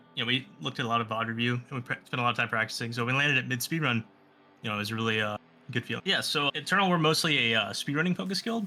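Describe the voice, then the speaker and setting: A man talks at a very fast pace and medium pitch. His tone is bright and sharp, his intonation lively. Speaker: guild raider being interviewed. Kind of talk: interview.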